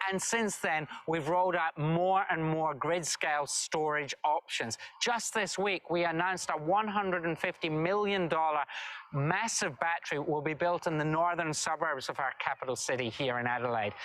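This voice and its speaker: This man has a Scottish accent and a fairly high pitch. He keeps a moderate pace, ordinary pitch variation and very even loudness. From Scotland, Dumfries and Galloway. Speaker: government minister. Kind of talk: recorded video address.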